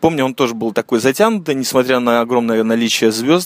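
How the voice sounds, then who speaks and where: Dry and close, the recording has no echo. A man speaks at a medium pitch with ordinary pitch variation. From Latvia (Riga, Soviet era). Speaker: podcast host. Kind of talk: casual monologue. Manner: relaxed, laid-back.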